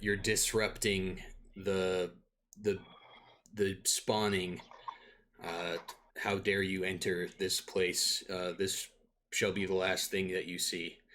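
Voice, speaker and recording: A man puts on a raspy character voice with a very deep, low pitch. He goes at a very slow pace with long, frequent pauses. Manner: menacing, imperious.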